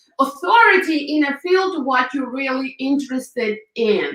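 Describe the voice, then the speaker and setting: In a Ukrainian accent, a woman speaks in a raised, projected voice. Her pace is moderate. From Ukraine. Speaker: hairdresser and public speaker. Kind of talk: interview. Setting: live video show.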